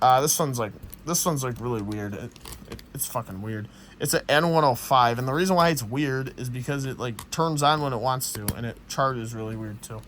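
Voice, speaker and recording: A man with a plain, everyday voice speaks at a moderate pace and medium pitch, his pitch varying in an ordinary way while his loudness swings widely. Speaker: tech hobbyist YouTuber. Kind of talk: casual show-and-tell vlog.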